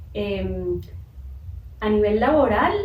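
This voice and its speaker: Recorded with noticeable background noise and audible room echo, a woman speaks. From Colombia. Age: young. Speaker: engineer, interview guest. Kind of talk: testimony. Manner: halting.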